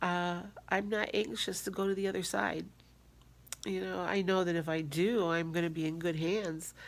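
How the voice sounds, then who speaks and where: In a room with audible echo, a woman with a fairly low pitch speaks at a moderate pace, with ordinary pitch variation and very even loudness. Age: 60s. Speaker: weight-loss vlogger. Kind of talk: casual vlog update. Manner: halting, with fillers.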